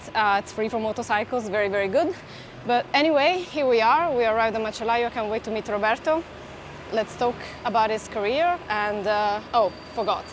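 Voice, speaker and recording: Fairly quick speech from a woman with a fairly high pitch and ordinary pitch variation, over noticeable background noise. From southern Italy. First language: Italian. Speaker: food video host. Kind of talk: casual chat.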